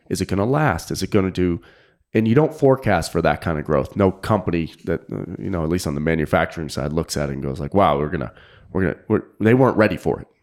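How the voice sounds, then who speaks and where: Talking at a very fast pace with lively intonation, a man with a very deep, low voice and vocal fry is heard in a very clean recording with a silent background. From New England (Manchester, New Hampshire). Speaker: fly fishing guide and tackle sales manager. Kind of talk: casual interview.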